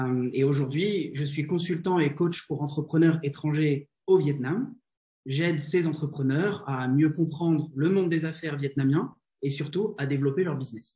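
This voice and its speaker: A man's fairly high, somewhat breathy voice with a dark, mellow tone, ordinary pitch variation and a fairly slow pace. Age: 20s. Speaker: business consultant and coach. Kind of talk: interview. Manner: hesitant, frequent fillers and repetitions.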